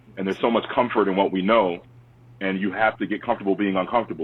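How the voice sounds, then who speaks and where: Speaking at a very fast pace, a man with a New York accent has a fairly low pitch. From Long Island, New York. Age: 30s. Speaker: historian and youth advocate. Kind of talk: interview. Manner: animated.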